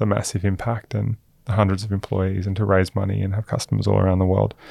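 A dark, mellow voice with an Australian accent moves at a fairly quick pace with fairly even intonation. The background is quiet. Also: man. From Queensland, Australia. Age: 30s. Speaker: venture investor. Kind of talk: podcast interview.

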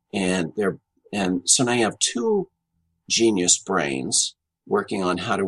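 In a dry, close recording with no echo, a man with a fairly low pitch talks at a fairly slow pace with ordinary pitch variation. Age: 60s. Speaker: organizational consultant and author. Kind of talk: interview. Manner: halting, with many fillers.

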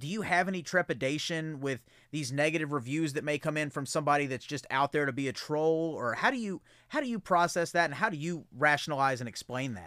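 Over a silent background on a very clean recording, a man with a normal speaking voice talks fairly quickly at a fairly high pitch. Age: 30s. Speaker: podcast host. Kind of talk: casual chat.

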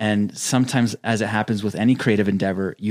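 A man with a normal speaking voice and a fairly low pitch talks at a fairly quick pace. The recording is very clean, with a silent background. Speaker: video editor. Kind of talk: casual chat. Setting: studio.

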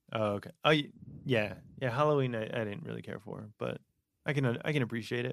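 A man with a normal speaking voice speaks at a fairly quick pace and medium pitch, with ordinary pitch variation. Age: 20s. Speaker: podcast host. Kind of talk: casual chat. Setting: studio.

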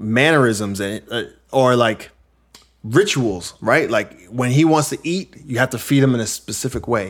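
On a very clean recording with a silent background, a man with a plain, everyday voice and an American accent speaks at a moderate pace with lively intonation. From New York. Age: 40s. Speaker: podcast host. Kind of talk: casual chat.

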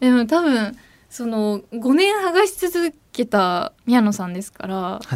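Her loudness swinging widely, a woman talks very slowly at a high pitch with very wide pitch swings. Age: 20s. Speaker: radio host. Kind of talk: radio talk show. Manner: animated.

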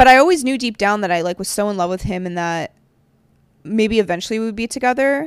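The recording is very clean with a silent background, and a woman talks at a fairly quick pace with lively intonation. Her medium-pitched voice is an unremarkable speaking voice. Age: 30s. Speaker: podcast host. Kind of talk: casual chat.

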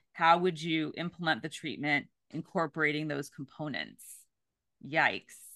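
Against a quiet background, a woman speaks with a very deep, low pitch, a bright, sharp tone, vocal fry and fairly even intonation. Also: moderate pace. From California, Bay Area. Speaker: counselor educator. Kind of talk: casual chat.

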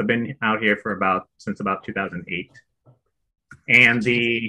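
With an American accent, the man has an ordinary speaking voice, a medium pitch and a moderate pace. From Chicago, US Midwest. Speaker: real estate investor and former insurance claims adjuster. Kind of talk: casual interview chat.

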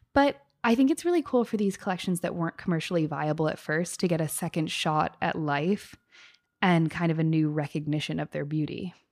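A plain, everyday voice from a woman, fairly low in pitch with ordinary pitch variation and a fairly quick pace, on a very clean recording with a silent background. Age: 20s. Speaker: fashion podcast co-host. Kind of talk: casual chat.

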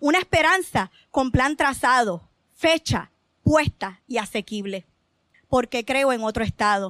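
A high-pitched woman speaks at a fairly slow pace with lively intonation, the sound dry and close with no echo. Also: very clean recording, silent background. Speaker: poet. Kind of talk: poetry reading. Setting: open mic stage with audience.

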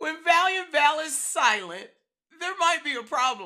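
Her voice raised and projected, a woman speaks at a fairly slow pace. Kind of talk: devotional talk. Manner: loud.

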